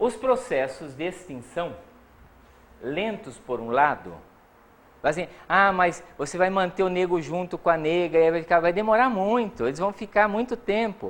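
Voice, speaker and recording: Here a man uses a high voice with lively intonation. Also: moderate pace. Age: old. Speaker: psychology professor. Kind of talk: lecture.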